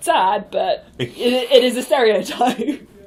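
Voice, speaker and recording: Against noticeable background noise, a woman with a British accent speaks at a very slow pace in a high voice. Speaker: improviser. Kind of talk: casual chat.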